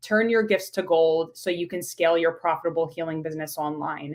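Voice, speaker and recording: A woman with a fairly low pitch speaks with a slight New York accent. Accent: New York accent, slight, shows on some words. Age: 30s. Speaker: pharmacist and business coach. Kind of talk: podcast interview.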